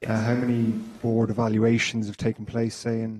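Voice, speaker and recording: A man with an Irish accent speaks at a moderate pace and medium pitch. His intonation stays monotone and flat. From Ireland. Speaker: fund member asking a question. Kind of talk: audience question at meeting.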